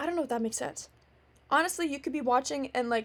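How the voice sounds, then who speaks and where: The voice is loud. It rushes along at a very fast pace. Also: woman. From Canada, Ontario. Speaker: podcast host. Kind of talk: casual monologue. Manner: many fillers.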